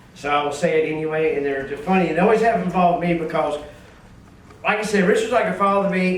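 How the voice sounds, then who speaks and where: A man's high-pitched voice with ordinary pitch variation, with audible room echo and noticeable background noise. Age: 60s. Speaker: wholesale distribution businessman giving a eulogy. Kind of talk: memorial speech. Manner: halting, with many repetitions and fillers.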